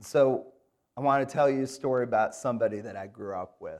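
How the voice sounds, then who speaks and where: This man has an American accent and a medium pitch. He speaks at a moderate pace with ordinary pitch variation. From Michigan, Grand Rapids. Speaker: guest preacher. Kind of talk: sermon. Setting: church.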